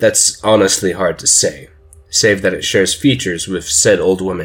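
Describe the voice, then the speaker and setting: The background is silent and the recording very clean as a man talks. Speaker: fiction narrator. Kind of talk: dramatic narration, horror story told in first person, building creepy suspense. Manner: conversational and rambling at first, then hushed, urgent and ominous.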